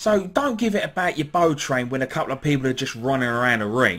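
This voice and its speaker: The voice moves at a fairly quick pace and swings very widely in pitch. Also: man. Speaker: wrestling fan vlogger. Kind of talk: vlog rant. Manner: loud; animated.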